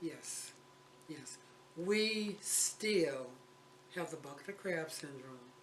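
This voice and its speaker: A man with a high voice speaks very slowly, leaving long, frequent pauses, with ordinary pitch variation and big swings in loudness. Noticeable background noise and audible room echo fill the recording. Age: 70s. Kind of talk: interview conversation.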